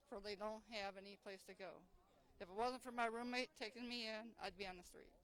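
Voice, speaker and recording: A woman speaks at a fairly quick pace with fairly high pitch and fairly even intonation, in an unremarkable speaking voice. Her loudness swings widely. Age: 60s. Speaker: army veteran. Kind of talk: street interview.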